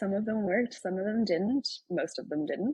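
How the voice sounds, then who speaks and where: In an Irish accent, a woman speaks at a medium pitch with lively intonation. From Ireland. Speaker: tech founder and writer. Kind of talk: casual chat.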